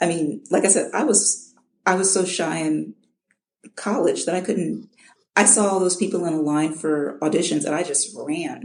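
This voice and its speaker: Vocal fry in a woman's fairly low-pitched voice, at a moderate pace. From Chicago, US Midwest. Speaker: audiobook narrator. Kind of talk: interview. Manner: halting, repeats words.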